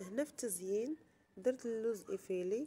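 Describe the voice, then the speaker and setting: A woman talks at a moderate pace in a fairly high voice. Her tone is dark and mellow, with ordinary pitch variation. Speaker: cooking YouTuber. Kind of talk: cooking tutorial.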